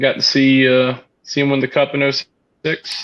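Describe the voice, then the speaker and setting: A man speaks at a medium pitch with an American accent. The sound is dry and close, without echo. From Connecticut, then North Carolina. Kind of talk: casual livestream chat.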